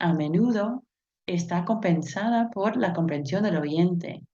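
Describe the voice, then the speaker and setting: This woman's voice sits at a medium pitch. Her accent is non-native. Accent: foreign accent in Spanish. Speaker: linguist and university language teacher. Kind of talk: conference presentation. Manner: hesitant, with fillers.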